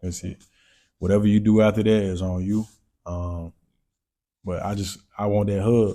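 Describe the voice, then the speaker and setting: Over a silent background in a very clean recording, a man with a dark, mellow tone talks at a fairly low pitch and moderate pace, his intonation monotone and flat, with long, frequent pauses. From North Carolina. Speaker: entrepreneur and content creator. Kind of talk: casual interview chat.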